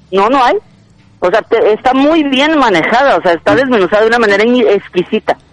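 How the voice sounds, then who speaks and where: At a fairly quick pace, a man with an extremely high voice talks with lively intonation and very even loudness, his sound dry and close with no echo. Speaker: film commentator. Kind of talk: casual chat. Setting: outdoors.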